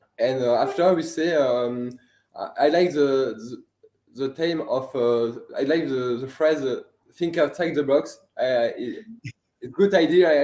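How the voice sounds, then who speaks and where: With a French accent, a man speaks at a fairly slow pace, his pitch fairly high with ordinary variation. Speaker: student animator, filmmaker. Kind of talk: interview. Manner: halting.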